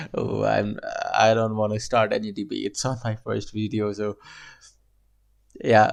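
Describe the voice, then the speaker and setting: Against a quiet background, a man with a non-native accent speaks at a fairly slow pace. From Asia. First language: not English. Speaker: reaction video creator. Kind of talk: casual commentary reacting to a video.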